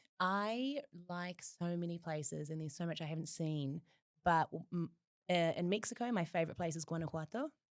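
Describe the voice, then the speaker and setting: A woman with a New Zealand accent speaks with ordinary pitch variation. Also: fairly low pitch for a woman, fairly quick pace. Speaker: podcast guest. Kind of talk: casual chat.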